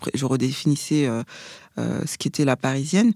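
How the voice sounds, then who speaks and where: A woman with a dark, mellow tone and lively intonation speaks at a fairly slow pace, the sound dry and close with no echo. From Paris region, France. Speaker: fashion and beauty blogger. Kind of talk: casual interview.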